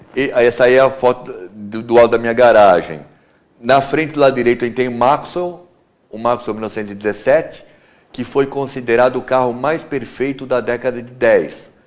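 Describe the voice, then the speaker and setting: A man with an unremarkable speaking voice talks at a moderate pace and medium pitch, with ordinary pitch variation but big swings in loudness. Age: 60s. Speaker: classic car collector and restorer. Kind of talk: TV interview.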